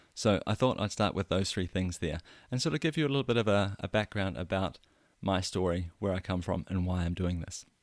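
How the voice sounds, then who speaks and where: Fairly quick speech in a New Zealand accent on a very clean recording with a silent background. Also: man, very deep, low pitch for a man, ordinary pitch variation. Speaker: podcast host. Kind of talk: personal story monologue. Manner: conversational, some hesitations.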